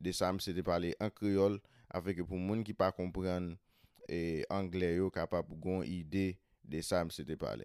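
A Haitian-accented man with a very deep, low pitch and a dry, close sound with no echo. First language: Haitian Creole. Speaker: podcast host. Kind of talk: podcast intro and summary in Creole.

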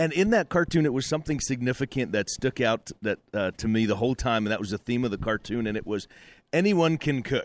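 At a fairly quick pace, a man with medium pitch talks in an ordinary speaking voice, on a very clean recording with a silent background and a dry, close sound with no echo. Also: lively intonation. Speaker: producer and sound engineer. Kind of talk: casual chat. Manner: joking.

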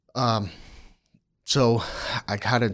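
The recording is very clean, with a silent background. On it, a man talks with an American accent. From Maryland, near Annapolis. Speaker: human resources professional. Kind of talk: casual interview. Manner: halting, many fillers.

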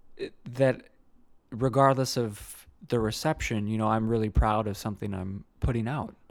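A man with an ordinary speaking voice and an American accent, medium pitch, moderate pace and fairly even intonation. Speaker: musician and singer. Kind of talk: casual interview chat.

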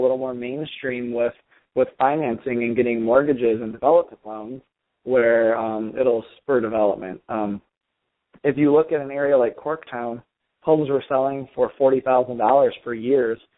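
In a Michigan accent, a man talks at a moderate pace with fairly even intonation. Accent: Midwestern American (Michigan). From Michigan, suburbs of Detroit. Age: young. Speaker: real estate investor. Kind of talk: interview.

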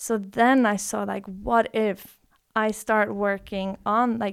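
In a very clean recording with a silent background, a woman with a Norwegian accent speaks at a medium pitch with monotone, flat intonation. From Norway. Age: 20s. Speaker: breathwork teacher. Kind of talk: casual chat.

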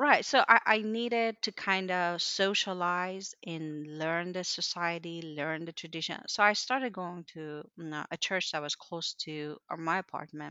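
A woman with a Persian accent at a fairly slow pace, hardly any pauses, big swings in loudness and ordinary pitch variation. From Iran, Mashhad. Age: 30s. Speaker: engineer. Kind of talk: interview conversation.

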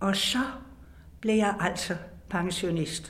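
Audible room echo and noticeable background noise surround a woman who speaks at a very slow pace with ordinary pitch variation. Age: 80s+. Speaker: retired teacher and audiobook narrator. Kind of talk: reading aloud own memoir.

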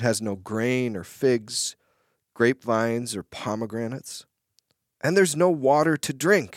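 Speaking with an American accent, a man uses an ordinary speaking voice at a medium pitch with lively intonation. His fairly slow delivery has a dry, close sound with no echo. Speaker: pastor. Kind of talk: podcast Bible discussion.

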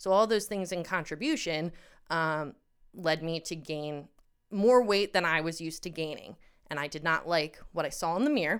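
Her voice is an ordinary speaking voice, fairly low in pitch with ordinary pitch variation. The woman speaks at a moderate pace in a very clean recording with a silent background. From Pennsylvania, US. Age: 30s. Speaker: guest sharing eating disorder story. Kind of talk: personal testimony in casual chat.

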